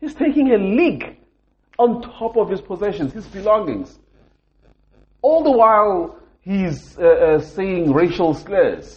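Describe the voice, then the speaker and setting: A man with a high pitch speaks at a very slow pace, with very wide pitch swings, big swings in loudness and long, frequent pauses. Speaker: podcast host. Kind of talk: angry rant about racism, passionate monologue. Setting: recording in a hotel room while travelling. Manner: angry, frustrated, emphatic, repeating for emphasis; disappointed, sincere, impassioned.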